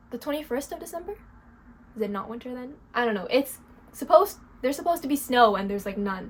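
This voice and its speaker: Over noticeable background noise, a woman with a Canadian accent talks at a very fast pace in a high pitch, with very wide pitch swings, big swings in loudness and long, frequent pauses. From Quebec, Canada (anglophone). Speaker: crochet vlogger. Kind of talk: casual vlog chat. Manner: casual, uses lots of fillers.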